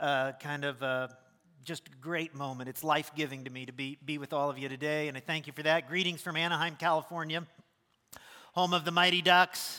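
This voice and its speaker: Fairly quick, fairly even speech from a man with fairly high pitch and a bright, sharp tone. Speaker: pastor. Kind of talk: sermon. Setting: church.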